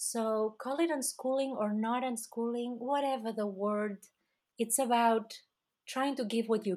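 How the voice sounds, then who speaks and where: A woman with a Catalan accent speaks at a fairly slow pace and a fairly high pitch. Her pitch varies in an ordinary way, and the recording is very clean with a silent background. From Catalonia, Spain. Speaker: author and homeschooling mother. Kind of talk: interview.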